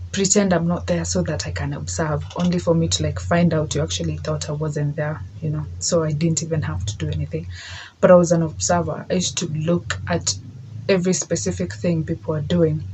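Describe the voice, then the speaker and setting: A woman with a very deep, low voice talks at a fairly quick pace. Her pitch swings very widely, and the room echo is audible. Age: 20s. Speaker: podcast host. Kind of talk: solo monologue. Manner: casual, code-switching with Swahili.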